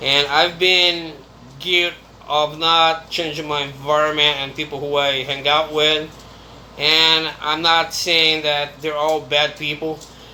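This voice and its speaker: Monotone, flat speech from a man with a fairly high pitch at a fairly slow pace, over noticeable background noise. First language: Brazilian Portuguese. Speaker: YouTuber. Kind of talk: casual monologue vlog.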